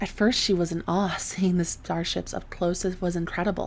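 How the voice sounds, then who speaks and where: Soft-spoken and medium in pitch, a woman talks at a moderate pace with fairly even intonation. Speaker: voice actor. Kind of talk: sleep story.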